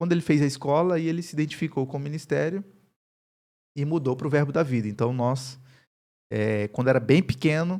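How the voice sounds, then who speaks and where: The man's dark, mellow voice moves at a fairly quick pace, broken by long, frequent pauses, and his pitch varies an ordinary amount. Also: fairly high pitch for a man, very clean recording, silent background. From Northeast Brazil, Campina Grande, Paraíba. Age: 30s. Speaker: pastor and university professor. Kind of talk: podcast interview.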